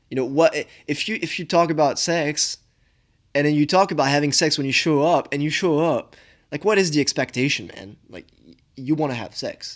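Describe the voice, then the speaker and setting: A man's fairly high voice in a French accent, on a very clean recording with a silent background. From France. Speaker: law student commentator. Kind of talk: reaction commentary. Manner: halting.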